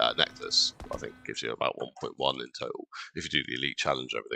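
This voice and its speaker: A man talking at a very fast pace with an English accent. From England. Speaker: gaming streamer. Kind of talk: live gameplay commentary. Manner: casual with many fillers.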